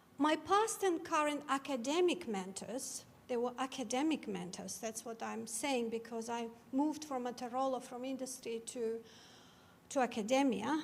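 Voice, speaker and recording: With a Georgian accent, a woman speaks in a high voice at a moderate pace, with audible room echo. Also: ordinary pitch variation. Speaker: cybersecurity academic, keynote speaker. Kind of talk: keynote talk. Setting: lecture theatre with audience.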